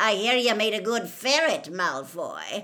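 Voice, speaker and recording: A put-on character voice, female-sounding and growling, with a fairly high pitch for a woman and a fairly slow pace. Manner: growling, mocking.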